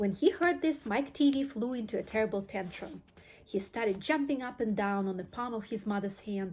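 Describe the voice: Someone does plain reading aloud.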